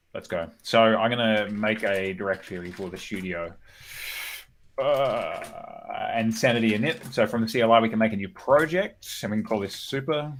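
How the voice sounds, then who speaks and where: The speaker is a man with an Australian accent. His voice rests fairly low. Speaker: developer live-coding on stream. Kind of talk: live coding stream. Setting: live stream. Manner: fast.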